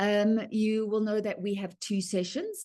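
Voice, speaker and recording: A woman speaks with a South African accent at a medium pitch. The background is quiet. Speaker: writing workshop presenter. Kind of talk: online presentation. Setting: video call from home. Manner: fast when excited.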